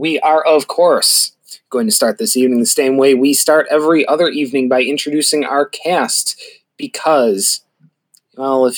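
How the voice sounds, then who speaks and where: A man speaks at a moderate pace in an unremarkable speaking voice. His pitch is fairly high, with ordinary variation. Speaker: podcast host and dungeon master. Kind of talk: tabletop role-play narration. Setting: group recording session around a table.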